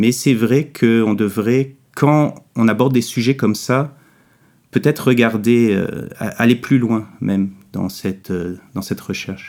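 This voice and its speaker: Speaking at a very slow pace, a man with a medium pitch and ordinary pitch variation comes through on a very clean recording with a silent background. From Quebec. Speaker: comic book author. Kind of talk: interview.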